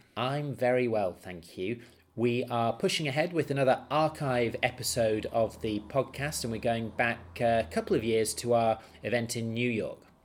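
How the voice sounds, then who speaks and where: At a moderate pace, a man speaks in an ordinary speaking voice at medium pitch with ordinary pitch variation. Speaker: podcast host. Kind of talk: podcast intro, casual chat.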